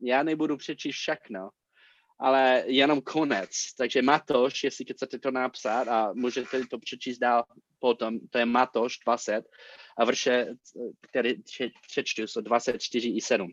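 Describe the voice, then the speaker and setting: A man with an English accent speaks at a fairly slow pace, his voice dry and close with no echo. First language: English (speaking Czech). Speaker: pastor. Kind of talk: sermon. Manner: halting.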